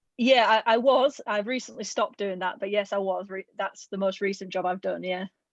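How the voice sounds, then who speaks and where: Speaking with a Yorkshire accent, a woman talks at a fairly quick pace with hardly any pauses and fairly even intonation over a quiet background. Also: medium pitch for a woman. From northern England, Halifax, West Yorkshire. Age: 20s. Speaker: adventurer and former diving coach. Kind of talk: presentation talk.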